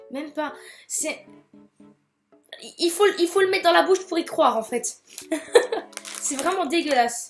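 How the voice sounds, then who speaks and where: A woman at a fairly slow pace with very wide pitch swings, music in the background. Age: 20s. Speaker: nursing student. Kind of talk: casual talk to camera.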